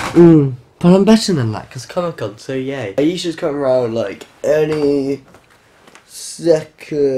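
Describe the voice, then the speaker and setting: The speech comes at a fairly slow pace. Noticeable background noise is present. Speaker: vlogger. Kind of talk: casual vlog.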